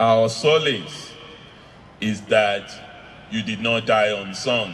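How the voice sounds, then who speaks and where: Light background noise accompanies a man speaking in a fairly low voice. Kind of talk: eulogy speech. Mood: solemn, emotional tribute. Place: tent. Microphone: handheld.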